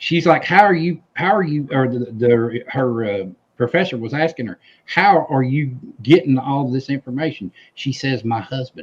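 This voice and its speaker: A man's somewhat breathy voice with a Southern US accent, medium pitch, lively intonation and a moderate pace. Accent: Southern twang. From US South. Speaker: civil war history enthusiast. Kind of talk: casual chat. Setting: live stream.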